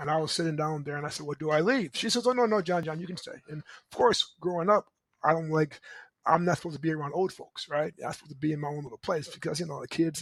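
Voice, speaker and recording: A man with an American accent speaks at a very fast pace in an animated tone, with ordinary pitch variation and a dry, close sound with no echo on a very clean recording with a silent background. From US Midwest (Michigan City, Indiana). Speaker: motivational speaker and coach. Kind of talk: motivational talk.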